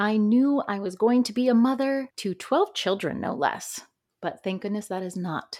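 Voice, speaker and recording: With an ordinary speaking voice, a woman of medium pitch talks at a moderate pace in an American accent, her intonation lively, on a very clean recording with a silent background. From upstate New York. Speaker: podcast host. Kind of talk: personal testimony monologue.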